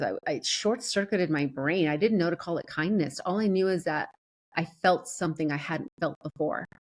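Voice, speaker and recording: A woman with a Spanish accent and fairly low pitch, animated in tone, with lively intonation at a moderate pace. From US, child of Peruvian immigrants. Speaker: performance coach. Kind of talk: interview testimony. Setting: podcast interview. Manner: animated, with frequent repetitions.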